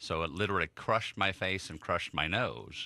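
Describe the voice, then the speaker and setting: A man's bright, sharp voice with an American accent on a very clean recording with a silent background. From Chicago, US Midwest. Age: 50s. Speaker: motivational speaker. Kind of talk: radio interview. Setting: radio studio.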